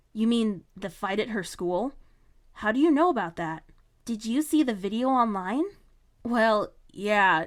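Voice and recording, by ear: This is reading aloud in a natural voice. The speaker reads through the text.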